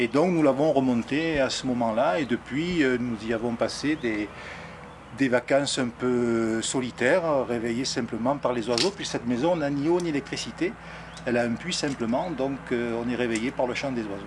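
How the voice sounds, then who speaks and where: There is noticeable background noise behind a man speaking at a medium pitch. His pace is moderate, with ordinary pitch variation. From southern France, near Arles. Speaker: local resident, interviewee. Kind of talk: documentary interview. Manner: halting, many hesitations.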